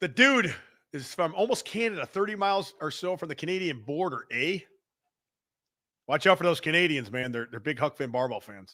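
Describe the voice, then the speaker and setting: A man with a Chicago accent talks fairly quickly in a fairly high voice with a bright, sharp tone. His pitch swings very widely and his loudness varies greatly, on a very clean recording with a silent background. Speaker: podcast host, fitness equipment seller. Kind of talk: casual chat. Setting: live stream. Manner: animated.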